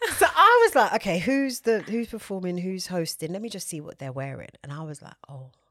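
With a British accent, a woman of medium pitch talks at a fairly quick pace, her pitch swinging very widely and hardly any pauses between words. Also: big swings in loudness. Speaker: podcast co-host. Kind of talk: casual chat.

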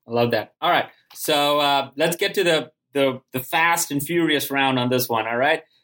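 A man's fairly high-pitched voice with a bright, sharp tone, very even loudness, ordinary pitch variation, and a moderate pace. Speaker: podcast host. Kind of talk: interview. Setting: video call.

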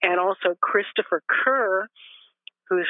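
A woman's plain, everyday voice with an American accent, medium in pitch with ordinary pitch variation, at a fairly slow pace. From Los Angeles, California. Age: 60s. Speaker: end of life educator and grief counselor. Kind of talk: casual interview conversation.

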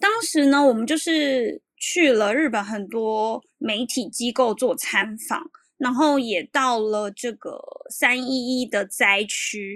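With a Taiwanese accent, a woman speaks at a very slow pace in a high voice. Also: ordinary pitch variation. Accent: Taiwanese Mandarin. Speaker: columnist living in Japan. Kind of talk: interview.

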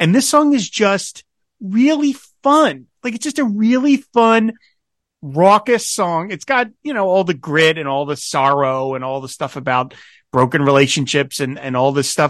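Over a quiet background, a man with an American accent speaks at a high pitch and moderate pace, his pitch swinging very widely. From New Jersey. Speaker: podcast host. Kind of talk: casual chat.

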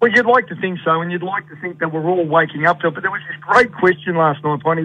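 Through noticeable background noise, a man with an Australian accent speaks at a fairly high pitch. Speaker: sports coach consultant and speaker. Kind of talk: radio interview chat. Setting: phone call from Ireland.

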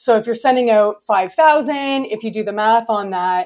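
On a very clean recording with a silent background, a woman with a Canadian accent speaks at a moderate pace in an ordinary speaking voice, fairly high in pitch with ordinary pitch variation. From Canada. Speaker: interior designer. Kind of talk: interview.

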